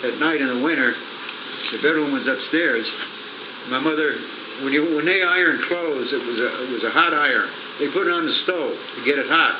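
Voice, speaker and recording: A man with an American accent, fairly high in pitch, at a fairly quick pace with ordinary pitch variation and long, frequent pauses, amid audible room echo and noticeable background noise. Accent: Scranton Pennsylvania working-class. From northeastern Pennsylvania, Pittston. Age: old. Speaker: grandfather telling family stories. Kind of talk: casual storytelling interview. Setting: small apartment, handheld cassette recorder. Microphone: rough sound, poor cassette recorder, haphazard placement.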